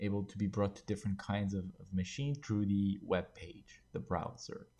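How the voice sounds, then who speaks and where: With a French accent, a man speaks in a dark, mellow tone. The background stays quiet. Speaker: game development tutorial creator. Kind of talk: tutorial. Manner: halting, many filler words.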